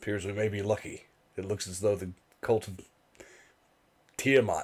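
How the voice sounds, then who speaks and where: A raspy, fairly low put-on character voice from a man. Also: moderate pace. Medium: actual play. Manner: formal, measured.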